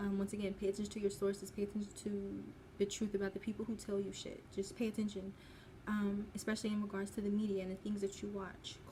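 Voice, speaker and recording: A woman talks at a very fast pace in a medium pitch, her tone dark and mellow, somewhat breathy, with monotone, flat intonation. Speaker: spiritual content creator. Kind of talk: casual commentary video. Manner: halting, stuttering.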